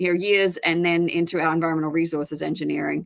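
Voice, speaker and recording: Delivering her words very fast, a woman with an Australian accent keeps a fairly low pitch and a monotone, flat intonation. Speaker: professor and department chair. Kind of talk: interview. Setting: live-streamed online broadcast.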